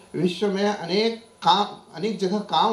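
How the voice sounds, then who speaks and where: A man is speaking. Some room echo can be heard. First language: Marathi (speaking Hindi). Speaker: professor. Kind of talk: conference talk. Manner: formal; halting.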